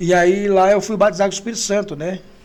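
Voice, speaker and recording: A man speaks at a fairly quick pace in a high voice. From Brazil, Ceará (Maracanaú). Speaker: pastor. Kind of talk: testimony.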